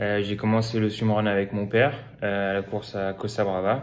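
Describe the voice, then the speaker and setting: A man speaks with a fairly low pitch and monotone, flat intonation. Audible room echo surrounds his voice. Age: 20s. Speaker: swimrun athlete. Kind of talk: interview. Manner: hesitant, many fillers.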